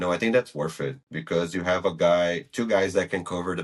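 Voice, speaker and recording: A man's very deep, low voice with a non-native accent at a fairly quick pace against a quiet background. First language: not English. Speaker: football podcast host. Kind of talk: casual chat.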